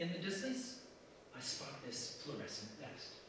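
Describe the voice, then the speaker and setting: Over noticeable background noise, a man talks at a fairly slow pace with a fairly high pitch and very wide pitch swings. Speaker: cartoonist, writer and performer. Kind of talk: casual anecdotal storytelling to a live audience.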